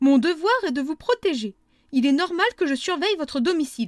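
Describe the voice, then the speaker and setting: In a shrill, put-on character voice pitched high, a woman talks at a fairly quick pace with very wide pitch swings, recorded dry and close with no echo. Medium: read story. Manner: haughty, overbearing.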